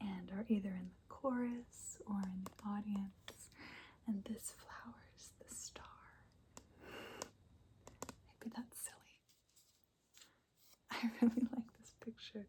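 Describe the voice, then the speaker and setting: Whispering at a very slow pace, a woman leaves long, frequent pauses as her loudness swings widely. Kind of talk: ASMR soft spoken ramble. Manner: soft-spoken, whispery.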